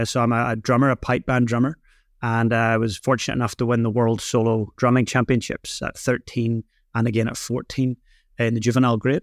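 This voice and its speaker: A man speaks at a fairly quick pace with a Northern Irish accent. The sound is dry and close, with no echo. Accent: Northern Irish, noticeable. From Northern Ireland. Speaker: drumming instructor and business speaker. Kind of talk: casual interview. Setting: remote call from New Zealand.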